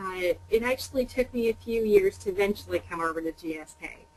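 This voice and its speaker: A woman's ordinary speaking voice at a medium pitch and moderate pace, with big swings in loudness. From Canada. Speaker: pharmaceutical sales executive. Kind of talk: webinar interview. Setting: webinar call.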